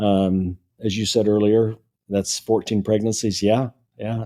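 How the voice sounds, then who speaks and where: A man's dark, mellow tone with an American accent, fairly slow and monotone, flat in intonation. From US Midwest (Kankakee, Illinois). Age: 70s. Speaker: author. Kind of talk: interview. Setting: in-person interview.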